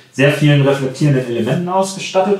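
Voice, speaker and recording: The man speaks at a fairly quick pace, with audible room echo around him. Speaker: product reviewer. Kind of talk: product review chat. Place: home room.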